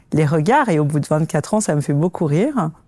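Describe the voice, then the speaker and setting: Over a silent background in a very clean recording, the voice swings very widely in pitch. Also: woman. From France, Paris suburbs, Antillean parents. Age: 50s. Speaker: HR executive. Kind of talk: interview testimony. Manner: hesitant with many filler sounds.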